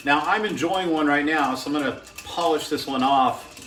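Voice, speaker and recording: A man with an American accent talks at a fairly quick pace in a fairly high voice with ordinary pitch variation. Music plays in the background, and there is audible room echo. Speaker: home cocktail video maker. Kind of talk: casual tutorial. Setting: at home. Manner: relaxed, with fillers.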